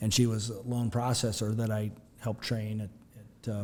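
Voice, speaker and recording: A man's fairly low voice, monotone and flat, at a fairly quick pace. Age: 60s. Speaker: community bank president. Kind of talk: podcast interview. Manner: halting, many fillers.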